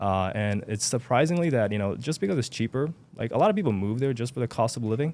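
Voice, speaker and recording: With a Japanese accent, a man talks very fast at medium pitch with lively intonation. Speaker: self-publishing entrepreneur. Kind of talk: casual interview chat. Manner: occasional stuttering.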